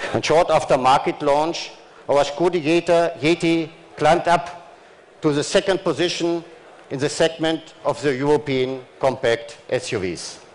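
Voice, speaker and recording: A man with a German accent at a fairly slow pace. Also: fairly high pitch for a man, ordinary pitch variation. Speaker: car company chief executive. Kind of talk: corporate press conference speech. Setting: stage at auto show press event. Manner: formal.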